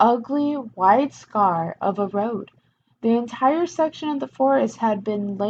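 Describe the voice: Plain reading aloud over a quiet background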